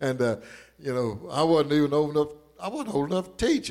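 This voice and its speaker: Speaking in an Arkansas accent, a man has a fairly high pitch. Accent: southern US (Arkansas). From southern Arkansas. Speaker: preacher. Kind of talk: sermon.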